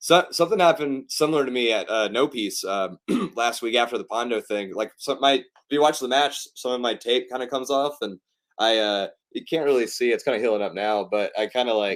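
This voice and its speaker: On a very clean recording with a silent background, a man with a slight Southern US accent talks at a fairly quick pace, his medium pitch showing ordinary variation. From US South, East Tennessee. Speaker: pro wrestler and filmmaker. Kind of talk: interview. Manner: casual, many fillers.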